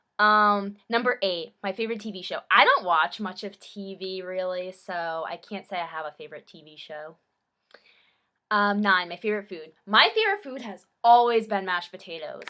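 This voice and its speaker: A woman's medium-pitched voice has a bright, sharp tone and ordinary pitch variation. Her loudness swings widely as she talks at a moderate pace. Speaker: college student vlogger. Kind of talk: casual vlog monologue. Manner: naturally loud; hesitant, filler-heavy.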